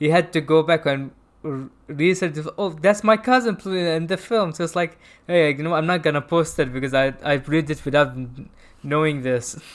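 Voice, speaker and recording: On a very clean recording with a silent background, a man with a non-native accent speaks at a fairly quick pace, his pitch fairly high with ordinary variation. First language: not English. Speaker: film review show host. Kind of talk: casual chat. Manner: halting.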